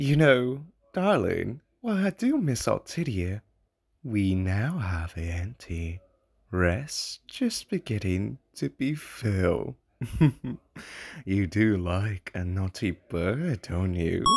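A man puts on a character voice, fairly low in pitch and delivered at a very slow pace. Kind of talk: comic dub voice acting. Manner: suave, seductive.

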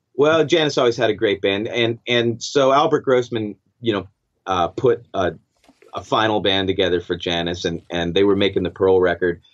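Here is a man with a plain, everyday voice and fairly low pitch. His intonation is lively and his pace moderate. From Canada (Stratford, Ontario). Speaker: record producer and guitarist. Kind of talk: casual interview.

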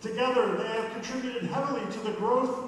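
The speech moves at a moderate pace. Strong room echo and light background noise are audible. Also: man. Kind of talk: ceremony speech. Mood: formal, celebratory. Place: hall.

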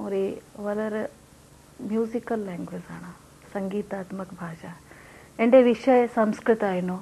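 A woman speaks with a Hindi accent. Her loudness swings widely. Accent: Hindi-accented Malayalam. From Rajasthan, India. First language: Hindi (speaking Malayalam). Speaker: poet and translator; poet. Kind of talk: interview; interview answer. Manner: halting, mixes English and Malayalam. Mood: calm, reflective. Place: home room.

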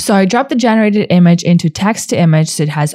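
A woman speaks at a medium pitch. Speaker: tutorial presenter. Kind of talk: tutorial. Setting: screen-recorded video narration.

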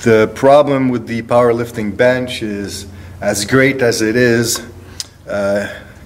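At a very slow pace, a man speaks with fairly even intonation. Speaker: strength coach. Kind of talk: tutorial. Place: gym. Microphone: phone near.

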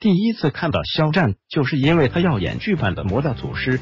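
Music plays behind a man talking at a moderate pace. His fairly high voice moves through very wide pitch swings. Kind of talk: celebrity gossip narration.

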